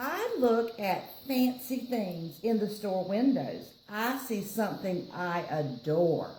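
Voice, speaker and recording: In a Southern accent, a woman with a fairly high pitch speaks at a very slow pace, with noticeable background noise and audible room echo. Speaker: library storyteller. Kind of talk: reading aloud to children. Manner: animated.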